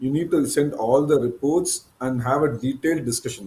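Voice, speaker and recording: A man's fairly high-pitched voice, dark and mellow in tone, somewhat breathy, with ordinary pitch variation at a moderate pace. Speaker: cancer surgeon. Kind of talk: live Q&A.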